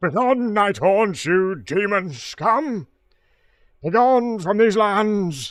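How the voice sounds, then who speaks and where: Putting on a character voice, a man talks with a high pitch at a very slow pace. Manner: commanding, dramatic.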